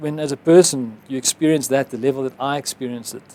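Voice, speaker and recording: An ordinary speaking voice from a man with fairly high pitch and fairly even intonation comes at a fairly quick pace in a dry, close sound with no echo. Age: 50s. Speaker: advertising executive and author. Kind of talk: interview.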